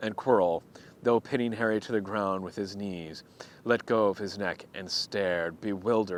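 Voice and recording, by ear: Someone is reading aloud in a natural voice. The delivery sounds like a reader, not scripted performance.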